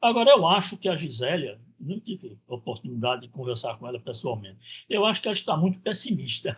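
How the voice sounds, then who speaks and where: The speech runs at a fairly quick pace, with very wide pitch swings and big swings in loudness. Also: man, fairly high pitch for a man. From Pernambuco, Brazil (Vitória de Santo Antão). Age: 70s. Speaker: professor. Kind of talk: lecture.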